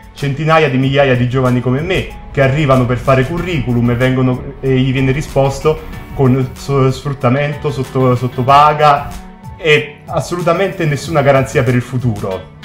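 Faint music plays in the background as a man talks at a fairly quick pace with ordinary pitch variation. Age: 30s. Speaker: cook. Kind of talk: casual talk to camera. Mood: earnest, indignant. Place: studio.

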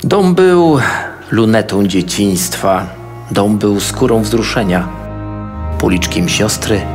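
A man with a fairly low voice and lively intonation speaks very slowly, with long, frequent pauses and noticeable background noise. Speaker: teacher and theatre director. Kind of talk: poetry reading. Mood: calm, solemn, reflective. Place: booth. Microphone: studio mic.

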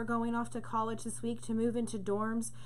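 A woman talks over light background noise. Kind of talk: spoken prayer. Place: home room. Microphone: webcam.

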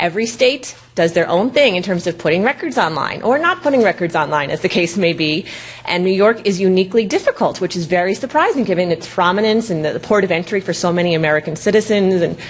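A woman talks at a very fast pace. She leaves hardly any pauses. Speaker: presenter. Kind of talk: lecture. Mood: wry, humorous. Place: hall.

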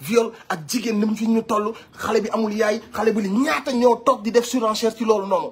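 A man with a high pitch and an animated tone, over light background noise. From Senegal. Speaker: online commentator. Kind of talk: commentary. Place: home room. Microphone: phone near.

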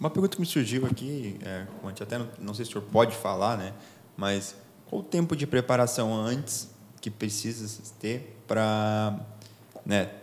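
Here a man speaks at a fairly low pitch. His pace is moderate. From Brazil. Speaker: podcast host, navy lieutenant; podcast host. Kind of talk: interview. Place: studio. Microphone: studio mic.

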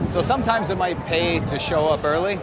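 Loud background noise surrounds a man talking at a fairly quick pace. His lively intonation comes through with a dry sound and no echo. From Canada, Vancouver; Canada. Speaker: travel vlogger. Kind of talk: casual vlog narration. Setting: outdoors at stadium. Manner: animated. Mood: playful, joking. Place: stadium. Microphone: phone near.

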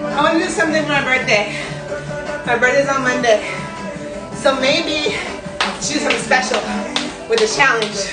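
Against clear background music, a woman talks at a moderate pace with ordinary pitch variation and long, frequent pauses. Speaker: fitness instructor. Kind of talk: live workout coaching chat. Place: home room.

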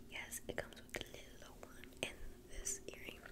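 A woman whispers at a fairly slow pace. Loud background noise fills the recording. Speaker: haul vlogger. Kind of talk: casual vlog chat. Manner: close whisper showing off earrings. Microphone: studio mic.

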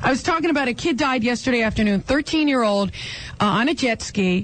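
A woman speaks at a fairly quick pace with lively intonation and a fairly high pitch. Noticeable background noise sits behind her. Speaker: radio talk show host. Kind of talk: talk radio monologue. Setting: radio broadcast. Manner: blunt, opinionated.

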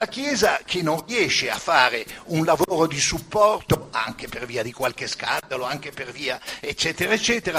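A man speaks at a moderate pace. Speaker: audience member. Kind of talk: audience question. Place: hall.

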